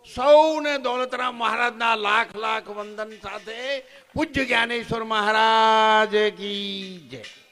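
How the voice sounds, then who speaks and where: Raising and projecting his voice, a man speaks at a high pitch in a bright, sharp tone, with fairly even intonation and big swings in loudness. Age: 70s. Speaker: ashram founder, retired government employee. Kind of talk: speech at a religious function.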